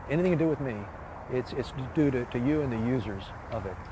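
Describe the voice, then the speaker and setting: Against noticeable background noise, a man's voice sits at a medium pitch. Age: 70s. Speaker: retired park designer. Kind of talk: interview. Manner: halting, many fillers.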